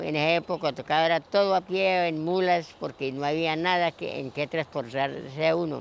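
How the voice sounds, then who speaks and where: Speaking at a fairly slow pace, a man with an unremarkable speaking voice has fairly high pitch and ordinary pitch variation. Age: 60s. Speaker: longtime local resident. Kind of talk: oral history interview.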